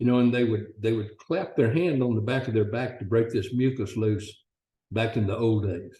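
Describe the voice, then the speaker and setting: This man talks at a moderate pace in a medium pitch, his dark, mellow tone somewhat breathy and his pitch varying in an ordinary way. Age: 70s. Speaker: customer testimonial. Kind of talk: testimony.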